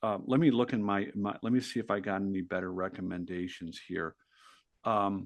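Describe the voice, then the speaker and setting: An unremarkable speaking voice with ordinary pitch variation at a moderate pace. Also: man, fairly low pitch for a man. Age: 60s. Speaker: author and entrepreneur. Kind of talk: podcast interview.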